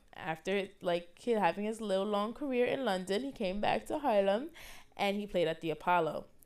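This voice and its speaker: The speaker has a New York accent, an animated tone and lively intonation at a moderate pace. The recording is very clean, with a silent background. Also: woman, medium pitch for a woman. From New York City, the Bronx. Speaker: student podcast host. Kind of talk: casual solo podcast talk.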